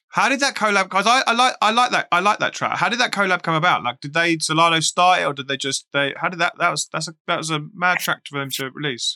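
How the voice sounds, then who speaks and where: With an English accent and a high, bright, sharp tone, a man races along at a very fast pace with hardly any pauses and lively intonation, the sound dry and close with no echo. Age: 40s. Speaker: podcast host. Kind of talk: casual interview. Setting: live stream.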